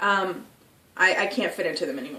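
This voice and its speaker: A woman speaks at a medium pitch. Noticeable background noise and audible room echo are present. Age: 20s. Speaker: vlogger. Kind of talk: personal video diary. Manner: hesitant, many fillers.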